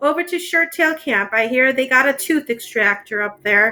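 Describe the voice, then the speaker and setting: A gravelly, put-on character voice with lively intonation at a moderate pace. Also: woman, high pitch for a woman. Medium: read story. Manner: terse.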